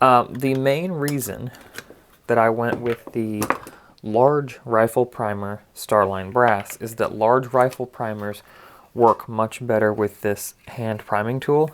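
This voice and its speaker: Over noticeable background noise, a man talks at a very slow pace in a medium pitch with fairly even intonation. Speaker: reloading hobbyist video host. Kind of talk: tutorial. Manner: casual with frequent fillers.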